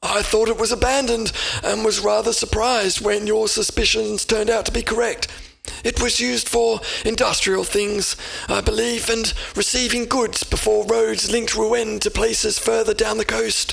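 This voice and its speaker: A man in a put-on character voice, high in pitch, at a moderate pace. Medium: read story. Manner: formal, measured.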